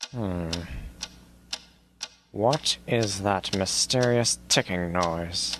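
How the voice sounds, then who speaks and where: In a put-on character voice, a man speaks very slowly in a very deep, low pitch, with long, frequent pauses. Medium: machinima. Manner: puzzled, musing.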